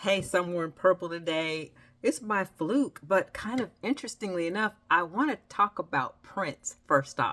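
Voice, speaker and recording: A woman's unremarkable speaking voice at a moderate pace, in a very clean recording with a silent background. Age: 60s. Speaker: writer and writing instructor. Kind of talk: casual vlog monologue. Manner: conversational, with fillers.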